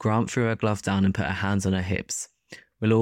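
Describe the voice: Someone reads the text aloud plainly. The background is quiet.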